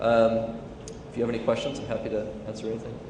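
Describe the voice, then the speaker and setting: A man with a medium-pitched voice speaks at a very fast pace amid noticeable background noise and audible room echo. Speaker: tech executive giving keynote. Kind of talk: conference keynote with Q&A. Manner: many fillers and repetitions.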